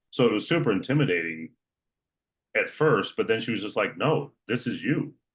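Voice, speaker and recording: Delivered at a moderate pace with vocal fry, the voice makes very wide pitch swings. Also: man, fairly high pitch for a man. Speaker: online fitness coach, former prison guard. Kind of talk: casual interview chat. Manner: matter-of-fact.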